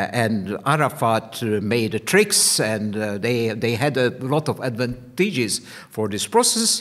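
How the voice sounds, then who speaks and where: In a Hungarian accent, a man speaks at a fairly slow pace with lively intonation. His pitch is medium, and the background is quiet. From Hungary. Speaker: history professor and diplomat; history professor. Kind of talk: panel presentation. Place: meeting room. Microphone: studio mic.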